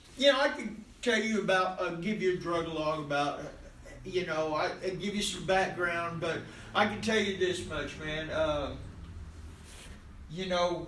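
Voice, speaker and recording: Audible room echo and noticeable background noise accompany a man with an American accent and a high pitch, who talks at a fairly slow pace with long, frequent pauses. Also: ordinary pitch variation. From Oklahoma. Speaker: recovery speaker, former prisoner. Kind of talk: recovery meeting share. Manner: casual, halting with many fillers.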